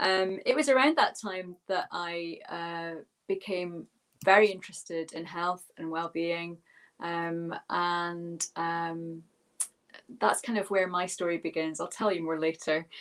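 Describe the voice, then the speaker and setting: A woman's fairly low, fairly slow voice with a Scottish accent and fairly even intonation. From Scotland. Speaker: minister and yoga teacher. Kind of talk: webinar talk.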